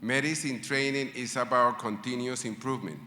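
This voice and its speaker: Against audible room echo, a man with a medium pitch and a bright, sharp tone speaks at a moderate pace with fairly even intonation. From Latin America. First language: not English. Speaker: medical school faculty speaker. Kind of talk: ceremony speech.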